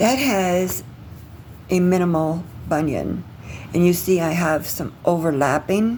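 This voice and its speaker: A woman with a fairly low pitch speaks at a fairly slow pace with ordinary pitch variation. Long, frequent pauses break up her words amid audible room echo. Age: 60s. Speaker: vlogger documenting pre-surgery. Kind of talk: casual video diary. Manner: halting, many fillers.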